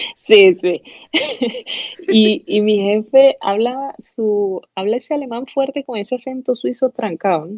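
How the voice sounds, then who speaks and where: Speaking at a fairly slow pace, a woman uses a fairly high pitch and lively intonation. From eastern Venezuela (El Tigre, Anzoátegui). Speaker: pathology resident physician. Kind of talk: casual interview chat.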